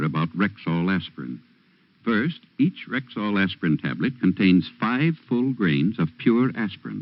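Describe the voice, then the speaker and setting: Pitched fairly low, a man speaks at a moderate pace with vocal fry and very wide pitch swings. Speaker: radio commercial announcer, druggist voice. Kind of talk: radio commercial read.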